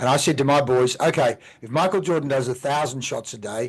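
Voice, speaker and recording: A man with an Australian accent speaks at a moderate pace in a medium-pitched, somewhat breathy voice. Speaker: podcast host. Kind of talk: podcast interview. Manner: enthusiastic.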